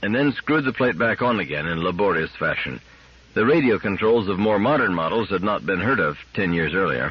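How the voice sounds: The intonation rises and falls in a lively way. It comes in a natural reading voice.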